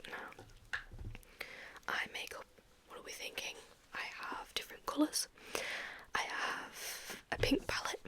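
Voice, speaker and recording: Whispering with big swings in loudness, long and frequent pauses, and noticeable background noise. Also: woman. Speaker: ASMR creator. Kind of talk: ASMR roleplay, personal attention. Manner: soft-spoken, whispering.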